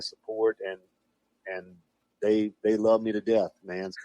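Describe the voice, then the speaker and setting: With a South Louisiana accent, a man with a fairly low pitch and a dark, mellow tone speaks at a moderate pace in a monotone, flat way. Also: dry, close sound with no echo. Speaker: professional wrestler. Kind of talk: casual podcast phone interview. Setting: phone line.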